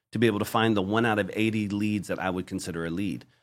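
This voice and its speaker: A man's plain, everyday voice with ordinary pitch variation, on a very clean recording with a silent background. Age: 40s. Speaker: call center owner. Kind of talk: interview.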